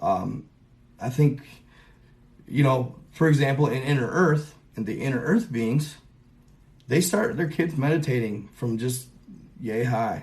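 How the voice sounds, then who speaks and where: In a room with audible echo, a man with a fairly high pitch talks at a fairly slow pace with lively intonation. He sounds somewhat breathy and pauses long and often. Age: 30s. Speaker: conspiracy content creator. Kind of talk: casual livestream monologue. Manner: casual, rambling with fillers.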